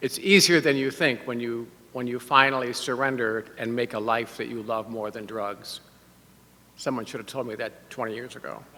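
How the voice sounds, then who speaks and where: Here is a man with an unremarkable speaking voice at a medium pitch, talking at a moderate pace. His intonation is fairly even, but his loudness swings a lot. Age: 60s. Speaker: bishop-elect and priest. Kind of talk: sermon. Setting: church service. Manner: conversational.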